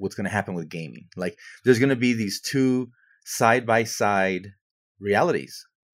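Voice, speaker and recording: In a very clean recording with a silent background, a man with a plain, everyday voice talks at a moderate pace with ordinary pitch variation. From US, Mexican-American. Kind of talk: casual chat.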